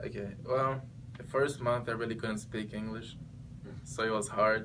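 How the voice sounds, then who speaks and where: Audible room echo surrounds a man speaking in a monotone, flat way with a Portuguese accent. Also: medium pitch for a man, moderate pace. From Brazil. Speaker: exchange student. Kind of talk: interview. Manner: halting.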